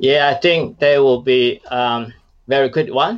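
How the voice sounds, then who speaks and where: A Chinese accent at a moderate pace. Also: man. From China. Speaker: startup founder. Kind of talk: casual interview.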